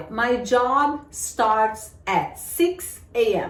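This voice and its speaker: Here a woman speaks with a high pitch. Audible room echo surrounds her voice. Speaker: English teacher. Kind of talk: tutorial.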